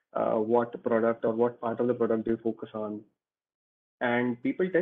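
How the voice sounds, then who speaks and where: Against a quiet background, a man with an Indian accent and a medium pitch talks at a fairly quick pace. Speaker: engineer; guest. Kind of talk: Q&A talk; interview answer. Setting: video call. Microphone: video call.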